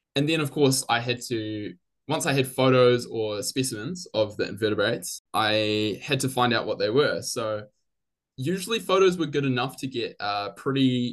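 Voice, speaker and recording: A man with a New Zealand accent at a medium pitch, ordinary pitch variation and a moderate pace, against a quiet background. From New Zealand, Christchurch. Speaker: biology graduate. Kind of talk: interview.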